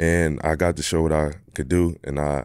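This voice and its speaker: A man with a Philadelphia accent and a very deep, low voice speaks in a flat monotone, recorded very cleanly against a silent background. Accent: Philadelphia American. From US, Philadelphia. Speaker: professional basketball player. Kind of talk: casual interview.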